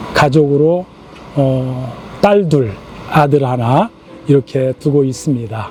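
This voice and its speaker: With noticeable background noise behind him, a man speaks very slowly at a fairly high pitch with ordinary pitch variation. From rural South Korea. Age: 60s. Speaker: church elder. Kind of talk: interview. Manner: hesitant with filler sounds.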